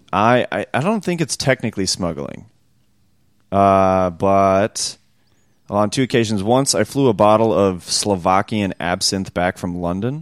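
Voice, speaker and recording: Heard on a very clean recording with a silent background, a man talks fairly slowly in a plain, everyday voice at a fairly low pitch. His pitch variation is ordinary, and the sound is dry and close with no echo. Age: 20s. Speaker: podcast co-host. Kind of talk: casual chat.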